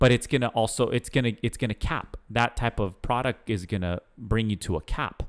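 An ordinary speaking voice from a man at medium pitch with ordinary pitch variation, fairly quick with hardly any pauses, in a dry, close sound with no echo on a very clean recording with a silent background. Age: 30s. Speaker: podcast co-host. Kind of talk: casual chat.

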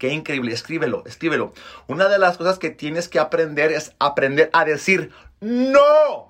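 His tone is animated and his intonation lively, pitched high for a man. The recording is very clean, with a silent background. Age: 30s. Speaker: podcast host, motivational speaker. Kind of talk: motivational monologue.

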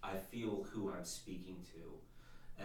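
The voice is somewhat breathy, and room echo can be heard. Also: man. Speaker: podcast host's husband, former non-believer. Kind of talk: casual faith conversation and testimony. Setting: home studio, behind the camera.

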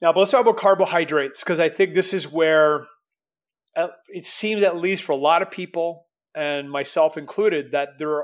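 A man with a normal speaking voice and fairly high pitch talks at a moderate pace, using ordinary pitch variation. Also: very clean recording, silent background. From Canada. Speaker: entrepreneur and strength coach. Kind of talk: casual interview.

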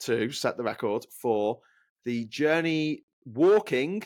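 Here a man with a Scouse accent speaks at a fairly high pitch with lively intonation. The recording is very clean, its background silent. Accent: Scouse, Liverpool. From Liverpool, England. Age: 40s. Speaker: travel record holder, author. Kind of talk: casual interview.

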